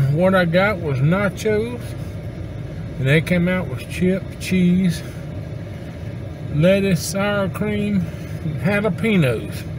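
With noticeable background noise behind him, a man with a high pitch speaks at a fairly slow pace and ordinary pitch variation. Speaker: restaurant reviewer. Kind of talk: casual vlog chat. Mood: relaxed, positive. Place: car. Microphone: camera far.

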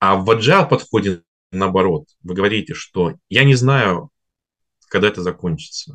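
Speaking at a moderate pace with lively intonation and long, frequent pauses, a man uses a fairly low voice against a quiet background. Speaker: finance and automation consultant; presenter. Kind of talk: webinar presentation. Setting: online webinar broadcast. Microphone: webcam.

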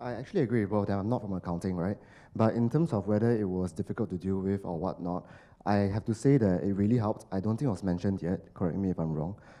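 At a very fast pace, a man speaks with a fairly low pitch, a dark, mellow tone and ordinary pitch variation. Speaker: marketing professional, recent alumnus; panelist. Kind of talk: panel discussion. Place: hall. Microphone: handheld.

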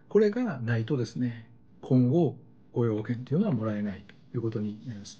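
Medium-pitched male voice, dark and mellow in tone, somewhat breathy, with lively intonation. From Japan. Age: 50s. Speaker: YouTube channel host, career consultant. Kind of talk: tutorial. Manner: casual, explanatory. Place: home room.

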